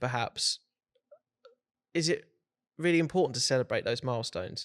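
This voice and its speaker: A man speaking at a fairly quick pace, in a dry, close sound with no echo. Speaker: podcast host. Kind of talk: podcast host conversation.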